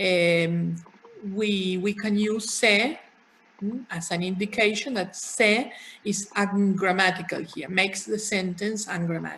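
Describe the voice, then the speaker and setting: Someone with a Spanish accent speaks at a fairly slow pace over noticeable background noise and audible room echo. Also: woman. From Argentina, Buenos Aires. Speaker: university lecturer. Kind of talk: lecture.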